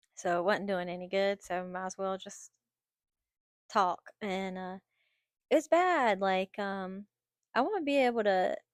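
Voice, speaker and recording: In a very clean recording with a silent background, a woman with an American accent speaks at a fairly slow pace with lively intonation. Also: dry, close sound with no echo. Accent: noticeable regional accent, tried to hide it. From North Carolina. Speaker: vlogger. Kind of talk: personal vlog monologue. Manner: halting, many fillers and repetitions.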